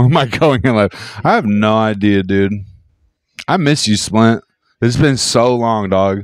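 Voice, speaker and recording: A man speaks at medium pitch in an animated tone, at a fairly slow pace with long, frequent pauses. His loudness stays very even, with ordinary pitch variation. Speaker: podcast host. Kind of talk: casual chat.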